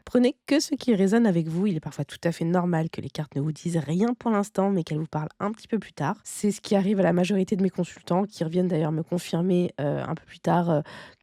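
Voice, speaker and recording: With hardly any pauses, a woman talks fairly quickly in a fairly low, dark and mellow voice with ordinary pitch variation and big swings in loudness, recorded dry and close with no echo. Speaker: tarot card reader. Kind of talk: tarot reading. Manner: hesitant, many fillers.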